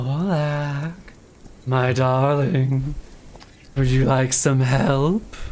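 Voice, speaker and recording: A man's put-on character voice at a medium pitch, very slow pace and long, frequent pauses, over clear background noise. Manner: soft.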